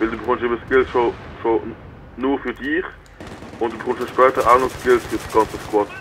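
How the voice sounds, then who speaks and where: The speech is monotone and flat in intonation, broken by long, frequent pauses, over noticeable background noise. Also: man, medium pitch for a man, moderate pace. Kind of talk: live gameplay commentary.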